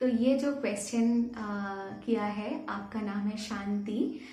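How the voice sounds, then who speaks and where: A woman's fairly high-pitched voice, with fairly even intonation, carries audible room echo. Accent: Bengali. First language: Bengali (speaking Hindi). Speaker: YouTuber. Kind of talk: Q&A vlog. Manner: halting, many fillers.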